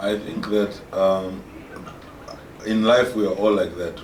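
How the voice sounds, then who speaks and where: Noticeable background noise and audible room echo fill the recording. The speaker goes at a fairly slow pace with fairly even intonation. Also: man. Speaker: actor. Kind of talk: interview.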